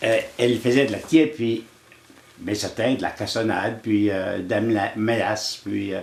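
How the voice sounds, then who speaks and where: At a very slow pace, a man talks with a medium pitch. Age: 80s+. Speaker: elder sharing life lessons. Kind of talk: storytelling interview. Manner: halting, with frequent repetitions.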